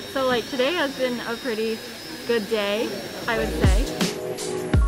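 A woman speaks at a fairly slow pace. Loud background noise runs underneath her. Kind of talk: casual vlog chat. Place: classroom. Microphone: phone near.

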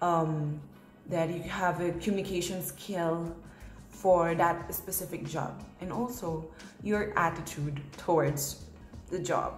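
With audible room echo and faint music in the background, the voice moves at a very slow pace with fairly even intonation. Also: woman, fairly low pitch for a woman. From Philippines. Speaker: international college student. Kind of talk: casual talk to camera. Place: home room. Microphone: phone near.

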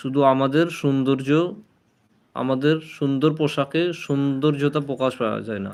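A man talks in an unremarkable speaking voice at a fairly high pitch. His intonation stays fairly even. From Murshidabad, West Bengal, India. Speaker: livestreamer giving Islamic talk. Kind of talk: live stream religious talk. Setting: live stream.

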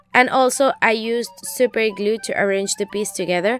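With music in the background, a woman talks at a moderate pace and medium pitch, with ordinary pitch variation. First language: Spanish. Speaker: DIY craft YouTuber. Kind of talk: craft tutorial voice-over.

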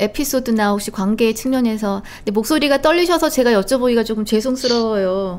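A woman's fairly high voice at a fairly quick pace, with ordinary pitch variation and hardly any pauses. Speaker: talk show host. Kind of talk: live political talk show. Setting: studio. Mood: somber, sympathetic. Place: studio. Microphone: studio mic.

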